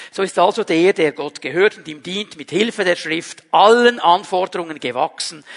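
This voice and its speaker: A man's high-pitched voice, ordinary pitch variation, a moderate pace and a dry, close sound with no echo. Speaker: pastor. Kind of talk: sermon. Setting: livestreamed church service.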